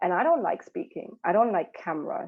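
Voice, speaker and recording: This is a woman speaking with a German accent. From Germany. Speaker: mentor for mothers. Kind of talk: podcast interview.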